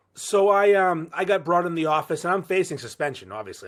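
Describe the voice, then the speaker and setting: In a very clean recording with a silent background, a man talks at a fairly quick pace in a high voice with lively intonation. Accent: Boston. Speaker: podcaster. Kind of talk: casual chat. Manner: animated.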